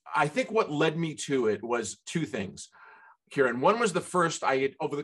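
Very wide pitch swings against a quiet background. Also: man. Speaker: guest. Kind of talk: interview answer. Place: home room. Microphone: video call.

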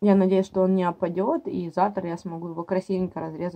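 A woman is speaking. The background is quiet. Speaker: mom vlogger. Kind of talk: casual vlog chat. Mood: wry, mildly exasperated. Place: kitchen. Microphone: phone near.

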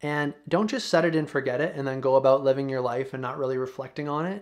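Against a quiet background, a man speaks in a relaxed tone at a fairly high pitch. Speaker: YouTuber. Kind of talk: casual monologue to camera, vlog style. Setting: home video recording, single camera. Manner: relaxed, conversational. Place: home room.

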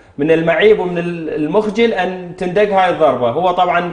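With audible room echo, a man speaks at a fairly slow pace in a high voice with ordinary pitch variation. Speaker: TV show host. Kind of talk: talk show commentary. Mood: indignant about a referee decision. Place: studio. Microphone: lapel.

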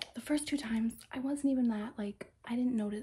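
Over noticeable background noise, a woman talks at a fairly quick pace with fairly even intonation. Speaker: ASMR creator. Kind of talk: casual ASMR chat, storytime. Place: home room.

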